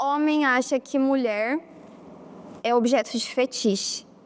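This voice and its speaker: A woman at a high pitch, very slow, with fairly even intonation. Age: young. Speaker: documentary interviewee. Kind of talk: testimony.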